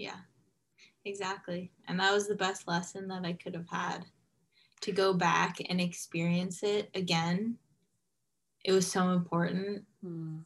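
A woman with a Californian accent speaks at a fairly slow pace, with long, frequent pauses. Her medium-pitched voice is somewhat breathy and flat in a monotone. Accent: Californian American. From US West Coast, Los Angeles. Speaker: former anorexia patient, coaching client. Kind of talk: interview testimony.

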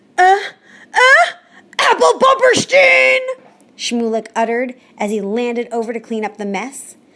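Noticeable background noise behind a woman's animated, playful tone, at a fairly slow pace with long, frequent pauses. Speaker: storyteller and podcast host. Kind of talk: folktale storytelling, children's story performed with character voices. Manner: animated, expressive, playful.

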